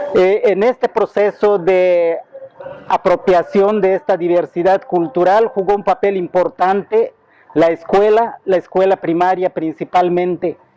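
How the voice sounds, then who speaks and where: A man with a Yucatán accent and a high voice, fairly even intonation, a fairly slow pace and very even loudness, in a dry, close sound with no echo and noticeable background noise. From Yucatán, Mexico. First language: Yucatec Maya (speaking Spanish). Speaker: bilingual teacher, cultural association representative. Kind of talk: interview monologue. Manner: halting, with repeated words and fillers; formal.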